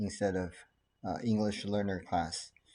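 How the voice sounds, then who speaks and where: A man speaks in a Chinese accent at a fairly low pitch. His intonation is monotone and flat. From Taiwan, then California from age 13. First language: Mandarin Chinese. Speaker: doctor, ADHD specialist. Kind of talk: casual talk to camera.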